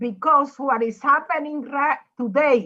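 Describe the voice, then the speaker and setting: Here is a woman with a bright, sharp tone. Her pitch shows ordinary variation. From Puerto Rico. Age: 80s+. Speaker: former state legislator. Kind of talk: panel remarks.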